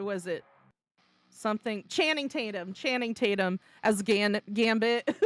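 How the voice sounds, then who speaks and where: A woman with an American accent talks at a medium pitch and a moderate pace. Her pitch varies in an ordinary way on a very clean recording with a silent background. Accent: slight accent others notice. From central Florida. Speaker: vtuber streamer. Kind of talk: casual chat. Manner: halting.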